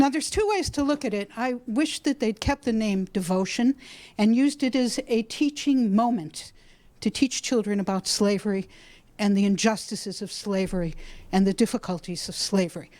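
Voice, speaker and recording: In a very clean recording with a silent background, a woman with an American accent and an unremarkable speaking voice speaks at a fairly high pitch and moderate pace with lively intonation. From Brookline, Massachusetts. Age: 60s. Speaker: school teacher. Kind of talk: public comment. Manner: loud.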